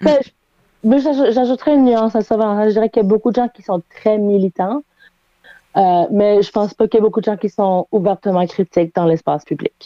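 With a fairly high pitch and a dark, mellow tone, a woman speaks with ordinary pitch variation and very even loudness, the sound dry and close with no echo. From Halifax, Nova Scotia. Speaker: playwright. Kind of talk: casual chat. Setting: remote call from bedroom.

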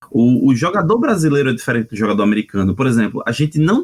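A man with a northeastern Brazilian accent, somewhat breathy, very wide pitch swings and a fairly quick pace, in a dry, close sound with no echo. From Northeast Brazil. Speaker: RPG translator. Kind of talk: casual chat.

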